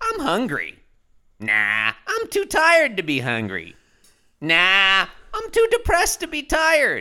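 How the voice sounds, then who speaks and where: A man's put-on character voice, extremely high-pitched, at a fairly slow pace, on a very clean recording against a silent background. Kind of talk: old-timey character actor. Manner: depressed, gloomy.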